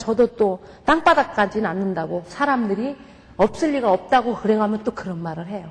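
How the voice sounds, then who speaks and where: With lively intonation, the woman talks at a moderate pace. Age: 50s. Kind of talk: testimony.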